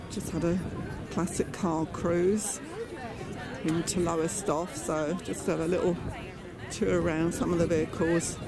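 Against background music, the speaker goes fairly slowly with long, frequent pauses, the sound dry with no echo. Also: woman. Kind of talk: casual vlog narration. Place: open country. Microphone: phone near.

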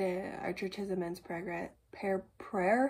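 A woman speaks at a very slow pace with vocal fry. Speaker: family vlogger. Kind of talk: casual vlog talk. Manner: halting, many fillers. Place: kitchen. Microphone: phone near.

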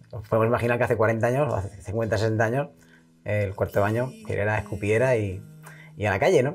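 Over music in the background, a man talks very fast in a fairly low pitch with ordinary pitch variation. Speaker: regional language association president. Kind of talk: guided house tour for TV.

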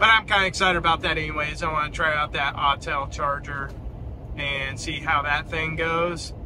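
The speech moves at a moderate pace with fairly even intonation. Background noise is clearly heard. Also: man, fairly high pitch for a man.

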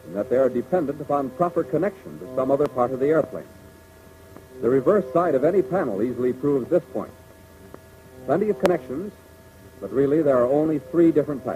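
Very fast speech with long, frequent pauses and ordinary pitch variation, clear music in the background. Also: man. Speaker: film narrator. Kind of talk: 1940s military training film narration. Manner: formal, brisk, authoritative, measured; didactic, clipped, earnest. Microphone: old recording.

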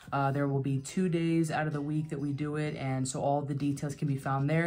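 A woman's very deep, low voice, very fast and flat in a monotone, over faint background music. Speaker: card collector youtuber. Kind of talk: casual vlog chat. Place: home room.

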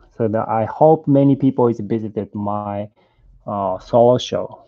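Over a quiet background, a man with a Japanese accent talks at a very slow pace with fairly even intonation. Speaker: sculptor; sculptor demonstrating live. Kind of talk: live sculpting demo, bilingual English and Japanese. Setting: live stream from studio in LA. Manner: halting, hesitant English with many fillers. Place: workshop.

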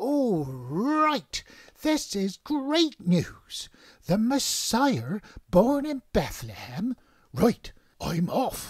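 A man uses a cartoonish character voice pitched extremely high, speaking at a very slow pace. The recording is very clean, with a silent background. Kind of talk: comic sketch dialogue. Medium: puppet show. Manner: blunt, down-to-earth. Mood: excited then bossy.

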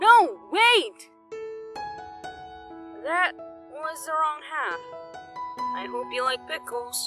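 Clear music plays in the background behind a high-pitched, put-on character voice. It moves at a very slow pace with long, frequent pauses. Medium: dub.

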